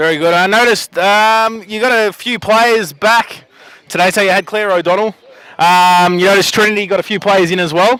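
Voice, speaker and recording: In an Australian accent, a man speaks at a fairly quick pace with a high pitch, a bright, sharp tone and fairly even intonation. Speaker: sports interviewer. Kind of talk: post-match interview.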